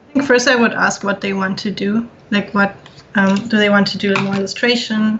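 A woman at medium pitch and a moderate pace, with noticeable background noise. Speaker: concept artist. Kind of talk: casual chat. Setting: video call.

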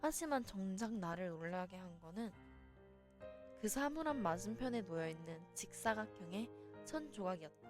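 A woman's calm tone at a very slow pace, with music in the background. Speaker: virtual streamer. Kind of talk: novel reading. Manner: calm, soft-spoken.

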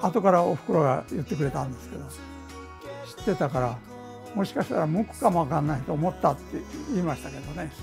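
A man talks at a very fast pace with long, frequent pauses and big swings in loudness, with clear music in the background. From Ehime, Japan. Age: 80s+. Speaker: tailor. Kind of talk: interview answer. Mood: warm, smiling. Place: workshop. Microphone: lapel.

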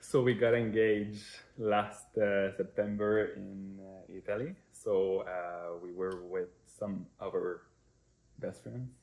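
A man's fairly low voice with a slight Quebec accent, very slow pace, fairly even intonation and big swings in loudness. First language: French. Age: 20s. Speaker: prospective parent. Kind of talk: personal introduction video. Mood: warm, smiling. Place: kitchen. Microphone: camera far.

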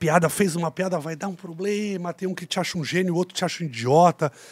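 A man's high-pitched voice at a fairly quick pace against a quiet background. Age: 40s. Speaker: actor and TV presenter; actor, TV presenter. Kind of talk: casual chat. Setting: studio. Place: studio. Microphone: studio mic.

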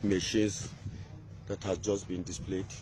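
At a moderate pace, a man speaks in a fairly low pitch with a dark, mellow tone and little pitch movement.

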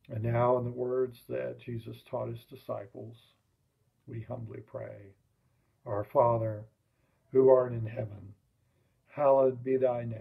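Against a quiet background, a man with a Southern US accent speaks at a fairly slow pace with long, frequent pauses, his dark, mellow tone somewhat breathy and his intonation monotone and flat. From US South. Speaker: lay worship leader. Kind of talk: liturgical prayer service. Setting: online livestream. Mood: calm, solemn. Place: home room. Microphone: webcam.

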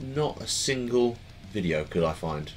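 A male speaker, with music faintly audible behind him. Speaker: unboxing vlogger. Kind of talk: casual vlog chat. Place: home room.

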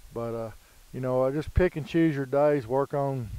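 Dry and free of echo, a man's voice comes through with a dark, mellow tone. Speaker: dog trainer. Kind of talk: casual vlog chat. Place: waterside.

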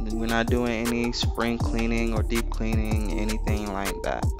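With music in the background, a man speaks at a fairly slow pace in a very deep, low voice that has very wide pitch swings. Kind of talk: voiceover commentary on cleaning video. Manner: casual, joking.

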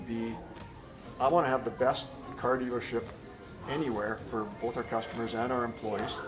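The speech has fairly even intonation, with clear music playing in the background. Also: man, moderate pace. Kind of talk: interview answer. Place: office. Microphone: camera far.

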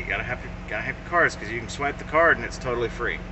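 Noticeable background noise runs through the clip. Over it, a man talks. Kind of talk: casual vlog chat. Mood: amused, storytelling. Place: car. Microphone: phone near.

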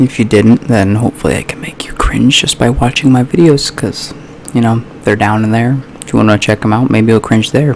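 A man speaks at a fairly quick pace with fairly even intonation. Light background noise can be heard. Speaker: youtuber. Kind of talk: casual vlog chat. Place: home room. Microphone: studio mic.

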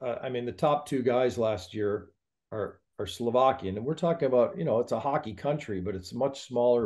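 A man talks in a plain, everyday voice at a medium pitch, with ordinary pitch variation and a fairly quick pace. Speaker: hockey show host. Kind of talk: podcast interview host. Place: home room. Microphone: video call.

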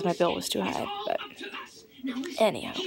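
Noticeable background noise behind a speaking woman. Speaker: social media vlogger. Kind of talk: casual vlog chat. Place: home room. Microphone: phone near.

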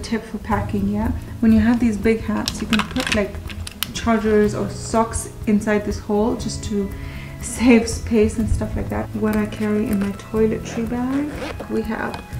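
With clear music in the background, a woman speaks at a fairly slow pace. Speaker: travel vlogger. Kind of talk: casual vlog chat. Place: home room. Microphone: phone near.

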